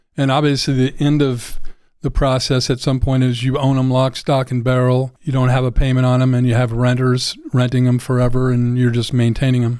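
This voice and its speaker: A man with an American accent speaks fairly quickly in a dark, mellow tone at a medium pitch. His intonation is monotone and flat, his loudness very even. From Oregon, US Pacific Northwest. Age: 60s. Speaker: real estate agent. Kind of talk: casual interview chat.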